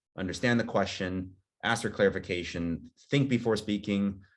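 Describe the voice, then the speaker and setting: The recording is very clean, with a silent background. A man with a fairly low pitch and ordinary pitch variation speaks in an unremarkable speaking voice. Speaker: admissions interview coach. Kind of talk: workshop presentation.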